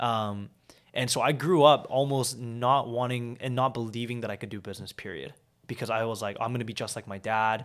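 Very clean recording with a silent background, a man with a normal speaking voice and a Canadian accent, medium pitch, fairly even intonation, and a fairly quick pace. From Vancouver, Canada (born in South Korea, moved at 7). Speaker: entrepreneur. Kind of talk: interview.

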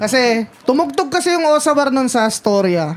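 Noticeable background noise surrounds delivery that is fairly slow. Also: woman. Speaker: podcast co-host. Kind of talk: casual chat.

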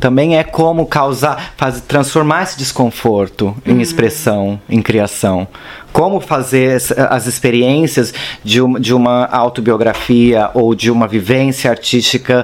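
Speaking at a fairly slow pace, a man with a medium pitch keeps his loudness very even and his pitch variation ordinary, with noticeable background noise behind him. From Brazil, São Paulo. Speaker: actor and performance artist. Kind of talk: casual interview.

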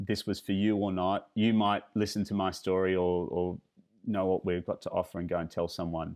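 At a moderate pace, a man with a fairly low pitch speaks with an Australian accent and fairly even intonation. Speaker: luxury driving tour company founder. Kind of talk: interview. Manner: halting, many fillers and repetitions.

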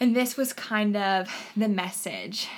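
This woman's voice shows ordinary pitch variation. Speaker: college ministry worker and blogger. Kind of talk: casual interview.

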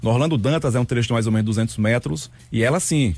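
A man's medium-pitched, somewhat breathy voice in a Bahian accent, with very wide pitch swings. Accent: Bahian accent, noticeable. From Bahia, Brazil (Juazeiro). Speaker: cycling activist. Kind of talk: radio interview. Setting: radio studio.

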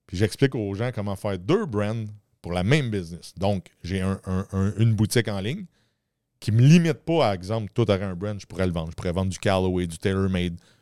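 A dark, mellow voice in a Quebec accent moves at a fairly quick pace, with a dry, close sound with no echo, on a very clean recording with a silent background. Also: man. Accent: Québécois French. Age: 40s. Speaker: entrepreneur. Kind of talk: casual interview.

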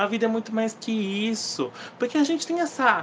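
Animated tone at a moderate pace. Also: man. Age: 20s. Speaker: podcast host, book reviewer. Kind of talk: casual solo podcast, book review.

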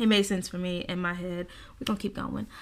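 A bright, sharp tone marks this woman's voice. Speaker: podcast host. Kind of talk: casual faith talk. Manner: stumbles and stutters at times.

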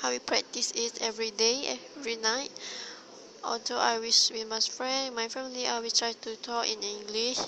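A woman with a Malaysian accent speaks at a moderate pace in a fairly high pitch, her intonation flat and monotone, with noticeable background noise. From Malaysia, Terengganu. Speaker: university student. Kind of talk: solo monologue podcast. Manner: halting.

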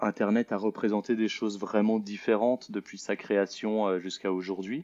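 Fairly even intonation marks speech that unfolds at a fairly slow pace. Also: man. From Switzerland, Lausanne. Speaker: multimedia artist. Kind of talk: interview. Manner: halting.

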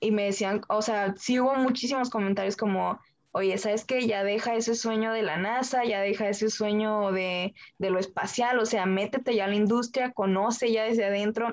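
A woman with an ordinary speaking voice, fairly high pitch, very even loudness, fairly even intonation and a moderate pace. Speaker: engineering student. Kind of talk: interview.

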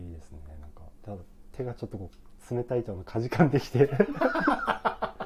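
At a moderate pace, a man with a medium pitch uses lively intonation, long, frequent pauses and big swings in loudness. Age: 30s. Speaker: coffee shop owner. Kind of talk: casual chat.

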